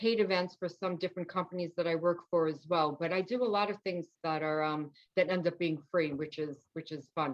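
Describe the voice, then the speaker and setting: A woman with a New York accent speaks at a fairly quick pace, with a medium pitch and fairly even intonation. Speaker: nutrition and wellness coach, author. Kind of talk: interview. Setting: podcast.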